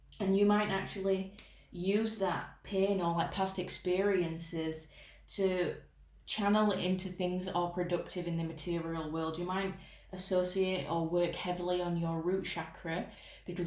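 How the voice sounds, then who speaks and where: Fairly low female voice in a monotone, flat delivery, with audible room echo. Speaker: tarot reader. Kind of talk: tarot reading. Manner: casual, chatty.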